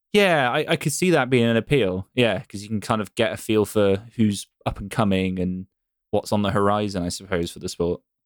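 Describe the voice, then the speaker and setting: Speaking with a West Country accent, a man keeps a fairly quick pace and ordinary pitch variation. The sound is dry and close with no echo, and the recording is very clean with a silent background. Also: fairly low pitch for a man. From England, Bristol. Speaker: podcast host. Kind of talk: casual chat.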